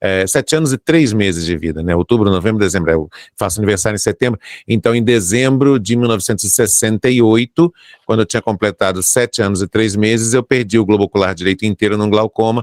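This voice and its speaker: In a very clean, dry, close recording with no echo and a silent background, a man with an ordinary speaking voice talks at a fairly low pitch with ordinary pitch variation. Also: fairly quick pace. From Brazil, Rio de Janeiro. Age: 60s. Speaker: journalist and broadcaster. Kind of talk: interview.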